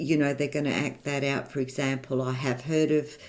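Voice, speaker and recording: The speaker has an Australian accent. Pitch varies in an ordinary way. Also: woman. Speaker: gamer youtuber. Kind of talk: casual chat.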